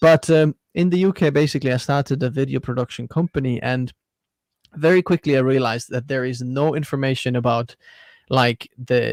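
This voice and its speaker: Medium in pitch with fairly even intonation, a man with an Estonian accent speaks at a fairly quick pace on a very clean recording with a silent background and a dry, close sound with no echo. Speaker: tech YouTuber. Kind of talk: livestream interview.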